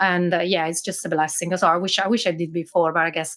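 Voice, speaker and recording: In an Italian accent, a woman with a fairly low pitch talks at a fairly quick pace with monotone, flat intonation. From Italy, Milan. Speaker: business owner, automation specialist. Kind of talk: podcast interview.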